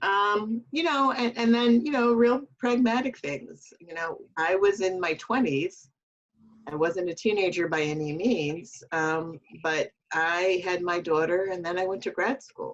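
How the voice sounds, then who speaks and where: Speaking fairly slowly with an American accent, a woman uses an unremarkable speaking voice at medium pitch with lively intonation. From Chicago suburbs, US Midwest. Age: 60s. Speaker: nonprofit policy leader. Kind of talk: interview.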